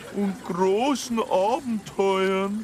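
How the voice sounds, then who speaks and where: A put-on character voice sits at a fairly high pitch. Clear background noise runs underneath. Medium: comedy sketch.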